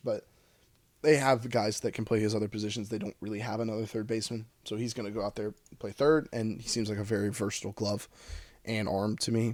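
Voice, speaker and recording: Putting on a raspy character voice, a man rattles along at a very fast pace, his medium pitch held in a monotone, flat intonation. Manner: talking very fast.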